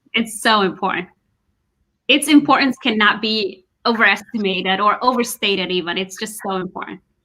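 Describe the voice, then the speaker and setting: At a fairly quick pace, a woman with a Somali accent speaks at a medium pitch, with a bright, sharp tone and ordinary pitch variation. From Somali diaspora. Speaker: podcast host. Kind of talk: interview.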